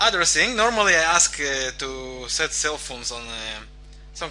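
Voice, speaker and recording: A man with a non-native accent speaks at a fairly slow pace. Audible room echo and noticeable background noise surround his voice. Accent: foreign accent in English. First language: not English. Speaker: forex trading coach. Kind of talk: online lecture. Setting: live online webinar. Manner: hesitant, many fillers.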